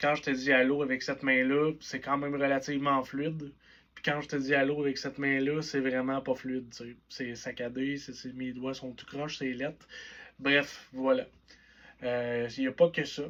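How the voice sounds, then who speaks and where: With a Quebec accent, a man speaks at medium pitch and a moderate pace in a flat monotone, his loudness swinging widely. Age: 20s. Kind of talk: personal vlog monologue. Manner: casual, conversational.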